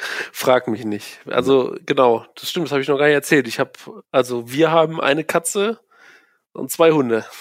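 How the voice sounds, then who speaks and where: On a very clean recording with a silent background, a man with a fairly high voice talks at a moderate pace with ordinary pitch variation, the sound dry and close with no echo. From Aachen, western Germany. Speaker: old school friend. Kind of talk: casual chat.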